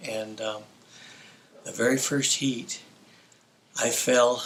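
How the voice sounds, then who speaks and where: Over noticeable background noise, a man with an American accent speaks in a medium-pitched, monotone, flat voice at a fairly slow pace. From New Mexico, US (Las Cruces). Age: 60s. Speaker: former pro motocross racer. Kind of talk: interview storytelling. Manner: hesitant, with fillers.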